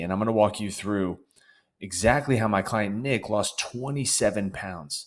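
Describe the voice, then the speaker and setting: A man speaks in an energetic tone with a fairly low pitch. The recording is very clean, with a silent background. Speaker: fitness coach. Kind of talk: tutorial.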